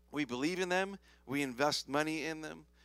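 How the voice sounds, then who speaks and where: A man's animated, bright, sharp voice at a moderate pace. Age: 40s. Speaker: pastor. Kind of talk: sermon. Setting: church.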